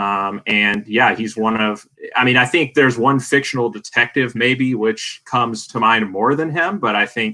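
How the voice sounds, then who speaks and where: With a Southern US accent, a man talks at a moderate pace in a medium pitch, using ordinary pitch variation. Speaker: film draft panelist. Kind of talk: casual chat.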